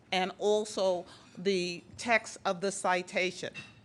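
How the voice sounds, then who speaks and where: A woman's medium-pitched voice with a Boston accent. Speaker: award presenter. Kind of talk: award ceremony speech.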